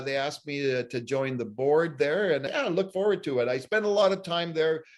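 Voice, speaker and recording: A man's fairly high voice at a moderate pace, with lively intonation and noticeable background noise. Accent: Canadian. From Ottawa, Ontario, Canada. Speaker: journalist. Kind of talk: interview. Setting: video call.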